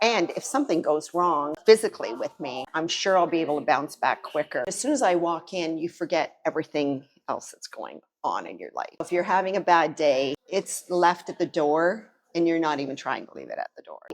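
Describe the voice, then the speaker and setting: In a plain, everyday voice, a woman with a fairly low pitch talks at a fairly quick pace, with ordinary pitch variation and big swings in loudness. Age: 60s. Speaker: gym member sharing testimonial. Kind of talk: testimony.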